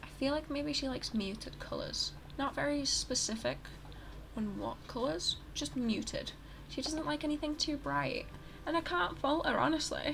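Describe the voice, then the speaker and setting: A woman speaks quietly at a moderate pace. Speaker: gaming YouTuber. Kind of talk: casual gameplay commentary. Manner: quiet, hushed; halting, many fillers. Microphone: poor audio.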